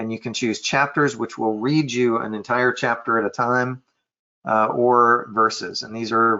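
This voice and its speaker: His intonation is fairly even and his pitch is medium. The man talks at a fairly slow pace. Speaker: software trainer. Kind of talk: tutorial. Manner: hesitant, many fillers.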